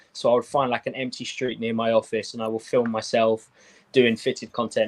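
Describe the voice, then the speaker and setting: A man's flat, monotone voice at a fairly quick pace, dry and close with no echo. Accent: British. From UK. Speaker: sneaker and hat content creator. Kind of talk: casual chat.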